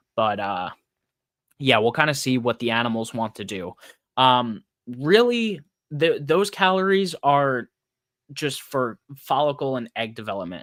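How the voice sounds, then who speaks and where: The speech is fairly slow, with very wide pitch swings and long, frequent pauses. The recording is very clean, with a silent background and a dry, close sound with no echo. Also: man, medium pitch for a man. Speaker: podcast host, snake breeder. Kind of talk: solo podcast monologue. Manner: casual, filler-heavy.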